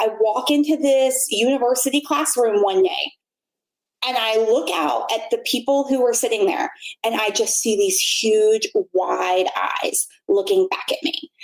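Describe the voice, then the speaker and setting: Loud and confident, a woman speaks with a high pitch and very wide pitch swings. She keeps a fairly slow pace. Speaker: blogger and former university instructor. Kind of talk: casual interview chat. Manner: loud, confident; clearly enunciated.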